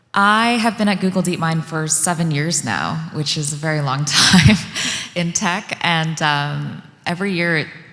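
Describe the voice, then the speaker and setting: Speaking at a moderate pace through noticeable background noise, a woman has a very deep, low pitch. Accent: American. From US Northeast, outside New York City. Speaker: tech policy director. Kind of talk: panel discussion.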